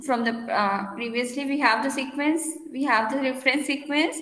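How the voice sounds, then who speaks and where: A woman's raised, projected voice carries high pitch with ordinary pitch variation. Audible room echo surrounds it. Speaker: university lecturer. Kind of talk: lecture.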